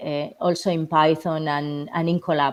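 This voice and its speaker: With a strong Spanish accent, a woman speaks in a very deep, low pitch, her intonation fairly even. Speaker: remote speaker on geospatial machine learning. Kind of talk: technical talk and Q&A. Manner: halting, many fillers.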